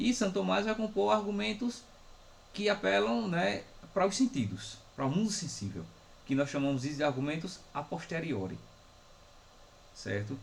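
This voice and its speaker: Long, frequent pauses break up a man's speech, set in audible room echo. His fairly high voice swings very widely in pitch. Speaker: philosophy professor. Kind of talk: lecture. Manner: slow, dictating.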